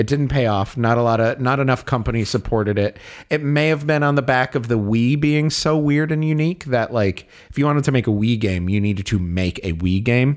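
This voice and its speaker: Using an ordinary speaking voice, a man talks at a fairly quick pace, his pitch medium and his loudness very even. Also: ordinary pitch variation. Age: 30s. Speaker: podcast co-host. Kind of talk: casual chat.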